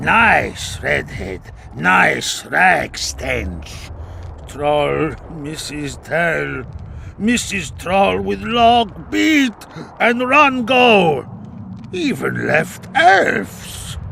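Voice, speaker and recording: Over clear background noise, a man performs a put-on character voice at a very slow pace. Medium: video game. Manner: broken grammar, simple words.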